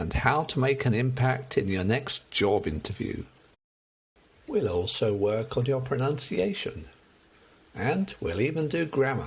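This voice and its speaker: Upbeat in tone, this voice moves at a fairly slow pace with vocal fry, very wide pitch swings, and long, frequent pauses. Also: man, medium pitch for a man. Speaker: English teacher. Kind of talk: promotional talk to camera. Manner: friendly, upbeat.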